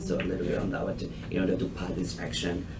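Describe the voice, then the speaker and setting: This man has a non-native accent and talks at a very fast pace. Room echo is audible and background noise is noticeable. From Thailand. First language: Thai. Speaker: restaurant owner. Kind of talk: business proposal to a committee. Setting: public committee meeting. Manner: halting.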